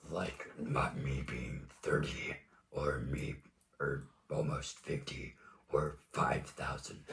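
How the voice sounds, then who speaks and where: A man uses a raspy, put-on character voice at a very slow pace, with long, frequent pauses. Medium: actual play.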